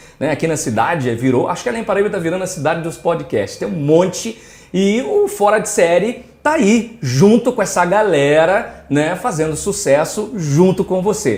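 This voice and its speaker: A man with a high pitch speaks with hardly any pauses. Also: lively intonation, moderate pace. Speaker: podcast host. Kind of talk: podcast host talk.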